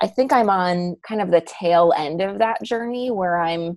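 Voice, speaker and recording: A woman with an American accent talks in an ordinary speaking voice at a fairly low pitch with ordinary pitch variation. The sound is dry and close, with no echo. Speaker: podcast producer. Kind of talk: casual chat.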